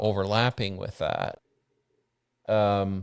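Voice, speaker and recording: A man's fairly low voice at a very slow pace, in a very clean recording with a silent background. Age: 60s. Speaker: bitcoin mining company founder. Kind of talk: podcast interview. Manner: halting, many restarts.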